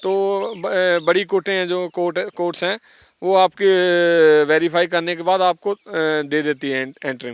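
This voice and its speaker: With a Punjabi accent, a man talks at a high pitch with fairly even intonation and hardly any pauses, in a dry, close sound with no echo. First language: Punjabi (speaking Hindi). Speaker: former gangster turned singer. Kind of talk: interview. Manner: halting, many fillers.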